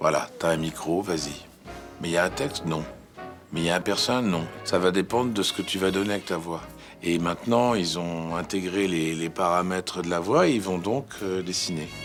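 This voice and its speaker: With music in the background, a man with a very deep, low pitch speaks at a moderate pace and ordinary pitch variation. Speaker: voice actor. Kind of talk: interview answer.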